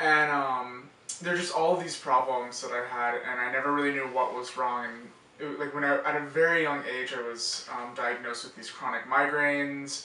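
A man at medium pitch speaks with audible room echo. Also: moderate pace. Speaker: college student. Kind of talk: patient testimonial interview answer. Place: office.

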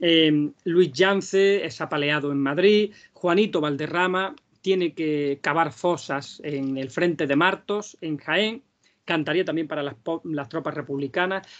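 A man has a plain, everyday voice with a fairly high pitch and ordinary pitch variation. He speaks at a fairly slow pace against a quiet background. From Andalusia, Vega de Granada; Andalusia. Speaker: flamenco singer and researcher; speaker. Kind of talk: lecture. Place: home room. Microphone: video call.

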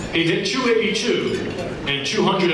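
A man talks with ordinary pitch variation. There is audible room echo and noticeable background noise. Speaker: banquet announcer. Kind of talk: formal introduction speech. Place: hall. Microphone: pa.

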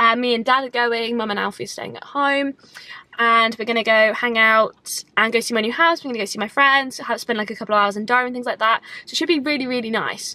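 A woman speaks very fast with fairly even intonation. The sound is dry, with no echo. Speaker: vlogger. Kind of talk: casual vlog chat. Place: car. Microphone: phone near.

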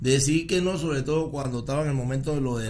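A man speaks at a medium pitch with ordinary pitch variation, in an unremarkable speaking voice. Light background noise sits behind him. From Panama. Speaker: podcast host. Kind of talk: interview. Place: studio. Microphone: studio mic.

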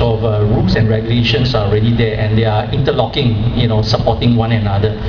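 Speaking with a Singaporean accent at a fairly quick pace, a man is heard over loud background noise. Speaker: blog editor. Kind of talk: protest speech. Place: stage.

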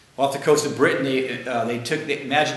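A man is heard with audible room echo. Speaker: guest lecturer. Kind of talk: lecture. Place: classroom. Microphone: camera far.

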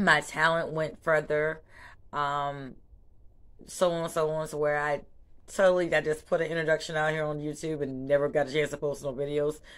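Against a quiet background, someone talks at a moderate pace in a Charleston accent. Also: woman, very deep, low pitch for a woman. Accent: Southern US (Charleston). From US South, Charleston, South Carolina; South Carolina. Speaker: small business owner and vlogger. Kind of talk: casual vlog introduction; casual vlog chat. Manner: animated. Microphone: phone near.

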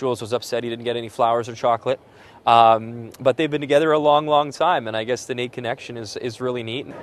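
A man's very fast speech in a western Canadian accent, fairly even in intonation, with a dry sound and no echo. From Alberta, Canada. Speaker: sports broadcaster. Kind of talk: interview; TV sports hosting. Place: stadium. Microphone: lapel.

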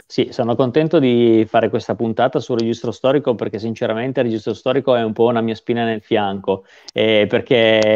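Against a quiet background, a man speaks fairly quickly with fairly even intonation in a dry sound with no echo. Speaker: guest. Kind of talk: interview answer. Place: home room. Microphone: video call.

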